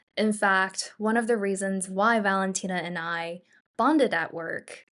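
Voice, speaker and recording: Intonation stays fairly even at a moderate pace. The background is quiet. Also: woman. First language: Mandarin Chinese. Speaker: podcast co-host. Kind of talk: casual chat. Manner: scripted reading.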